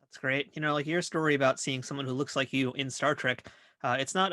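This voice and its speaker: A man with an American accent, medium pitch, bright, sharp tone and fairly even intonation, at a very fast pace, dry and close with no echo over a quiet background. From New York (Queens). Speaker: podcast host. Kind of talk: interview.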